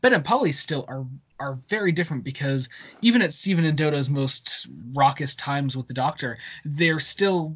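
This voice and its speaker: Lively intonation marks this man's fairly high-pitched voice. He sounds somewhat breathy and moves at a fairly quick pace. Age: 20s. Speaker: podcast host. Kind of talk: casual chat. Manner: halting.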